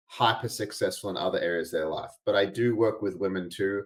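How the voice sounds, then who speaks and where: Fairly low-pitched male speech with an Australian accent on a very clean recording over a silent background. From Australia, Albany (Western Australia). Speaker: integration coach and podcast host. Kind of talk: podcast interview.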